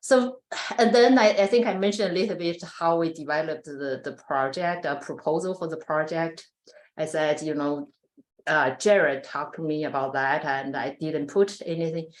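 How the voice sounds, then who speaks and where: Her pitch is very deep and low for a woman, and she has a non-native accent. She speaks at a moderate pace with lively intonation. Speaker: animal science researcher. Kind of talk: research presentation. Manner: hesitant, many fillers.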